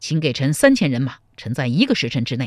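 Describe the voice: A passage of plain reading aloud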